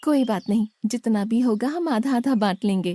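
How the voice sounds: A cartoonish character voice that sounds female speaks at a moderate pace with fairly high pitch.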